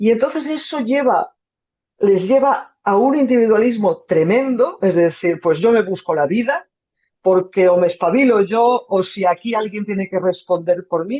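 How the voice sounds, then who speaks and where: Fairly slow, medium-pitched speech from a woman with lively intonation. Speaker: journalist, foreign correspondent. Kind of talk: talk with audience Q&A. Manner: halting.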